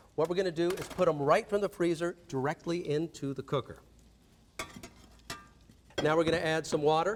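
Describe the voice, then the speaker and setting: This man has an ordinary speaking voice, fairly high in pitch, and talks at a fairly quick pace. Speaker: celebrity chef. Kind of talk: infomercial cooking demonstration.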